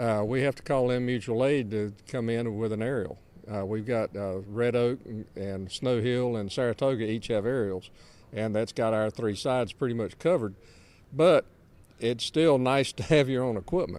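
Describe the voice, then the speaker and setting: Speaking at a moderate pace, a man with an eastern North Carolina accent keeps a medium pitch that varies in an ordinary way. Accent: US South (eastern North Carolina). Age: 70s. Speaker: volunteer firefighter. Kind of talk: interview. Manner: halting.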